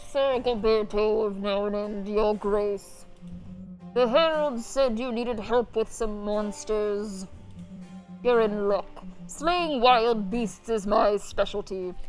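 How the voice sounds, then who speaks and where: A female-sounding, put-on character voice speaks at a fairly high pitch and a fairly slow pace. Clear music plays in the background. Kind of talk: mock-medieval, courtly. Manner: put-on, imitating a TV character's voice.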